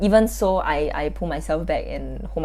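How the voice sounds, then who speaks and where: A woman speaks with a Singaporean accent. Audible room echo surrounds her voice. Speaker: youtuber. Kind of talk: self-reflective vlog monologue. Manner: loud; casual, filler-heavy.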